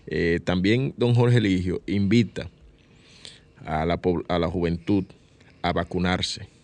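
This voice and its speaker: A man speaks fairly slowly in a very deep, low pitch with ordinary pitch variation. Long, frequent pauses break up his speech. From Dominican Republic, San Cristóbal. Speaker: radio host, journalist. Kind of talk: radio show hosting. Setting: radio studio.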